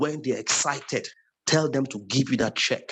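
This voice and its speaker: With a somewhat breathy quality, a man's voice sits at a medium pitch. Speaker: sales trainer. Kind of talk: lecture. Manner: fast.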